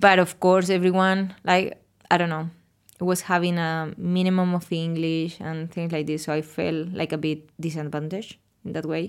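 A woman with a Spanish accent speaks at a moderate pace in a fairly low pitch, her intonation monotone and flat. The recording is very clean, with a silent background. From Spain. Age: 30s. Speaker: architect working abroad, guest. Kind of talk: casual interview chat.

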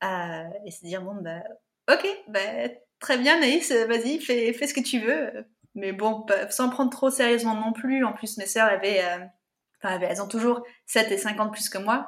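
At a fairly slow pace with long, frequent pauses, a woman speaks at a fairly high pitch with ordinary pitch variation. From France, Paris region (Yvelines). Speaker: natural contraception trainer. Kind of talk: interview conversation.

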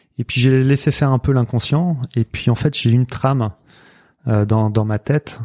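A man at medium pitch, with a dark, mellow tone and fairly even intonation, speaks at a fairly slow pace in a dry, close sound with no echo, a very clean recording, and a silent background. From western France, Nantes. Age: 40s. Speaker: mental coach. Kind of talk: interview conversation. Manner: hesitant, many fillers.

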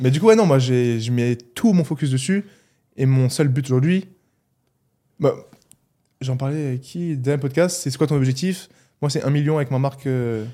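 A man with a fairly high voice and a slight Alsatian accent, his tone dark and mellow. He speaks at a fairly slow pace with ordinary pitch variation, leaving long, frequent pauses. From Alsace, France (Mulhouse). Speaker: athlete, physiotherapist and YouTuber. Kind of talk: casual chat.

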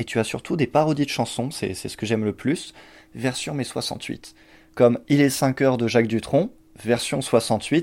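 A man speaks at a fairly slow pace and medium pitch with fairly even intonation, in an unremarkable speaking voice. The recording is very clean, with a silent background. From Champagne-Ardenne, France. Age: 20s. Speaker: poet and cinema worker. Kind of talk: casual chat. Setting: at home.

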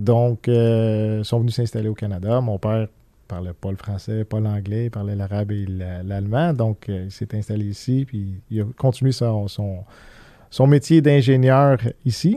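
His voice sits fairly low for a man. The rise and fall of his pitch is ordinary. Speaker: business owner. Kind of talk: interview. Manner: halting.

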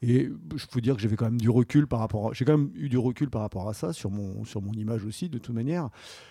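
Against a very clean recording with a silent background, a man talks at a very fast pace with hardly any pauses. His medium-pitched voice has a dark, mellow tone. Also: ordinary pitch variation. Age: 40s. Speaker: plastic surgery patient. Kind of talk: testimony. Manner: halting.

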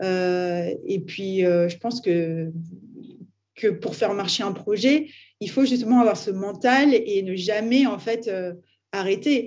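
A woman's medium-pitched voice at a very slow pace, with ordinary pitch variation and long, frequent pauses. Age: 30s. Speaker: artist and art startup founder. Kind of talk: interview. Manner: casual, hesitant with fillers.

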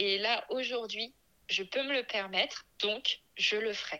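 In a fairly high voice, a woman speaks with fairly even intonation. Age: 30s. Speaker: mother sharing her story, small business owner. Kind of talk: personal testimony interview. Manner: hesitant with many fillers.

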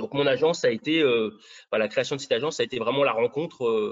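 A man talks at a medium pitch. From Brittany, southern. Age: 40s. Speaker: real estate agent. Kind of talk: interview.

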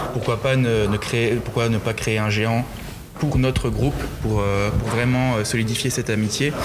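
With very even loudness and a monotone, flat intonation, a man of medium pitch talks at a fairly slow pace over noticeable background noise and audible room echo. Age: 20s. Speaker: festival giant bearer. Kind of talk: interview. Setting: museum. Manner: hesitant.

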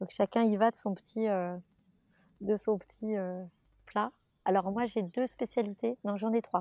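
Over a quiet background, a woman with a medium pitch and a dark, mellow tone speaks at a fairly slow pace with fairly even intonation and long, frequent pauses. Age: 30s. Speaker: actress. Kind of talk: casual chat. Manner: halting.

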